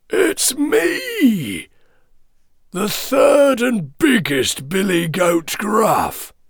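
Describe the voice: Using a put-on character voice, a man speaks hoarsely at a very slow pace with a high pitch.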